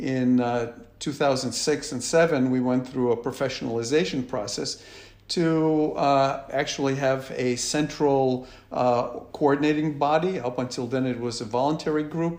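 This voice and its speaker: Using fairly even intonation, a man talks at a moderate pace and medium pitch. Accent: American. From United States. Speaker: business executive. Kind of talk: interview. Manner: hesitant, many fillers.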